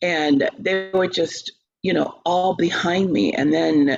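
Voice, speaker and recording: A woman with an American accent speaks with music in the background. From US South. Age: 60s. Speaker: opera singer and teacher. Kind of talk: interview.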